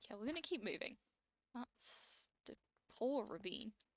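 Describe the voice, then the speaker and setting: Somewhat breathy, a woman speaks in a British accent with ordinary pitch variation. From Britain. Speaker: gaming YouTuber. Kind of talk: let's play commentary. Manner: animated.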